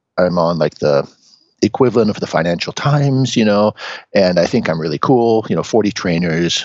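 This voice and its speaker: The speaker has an unremarkable speaking voice with an American accent. The delivery is fairly quick, with lively intonation. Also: man. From US Pacific Northwest, Seattle. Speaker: training company owner. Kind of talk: interview.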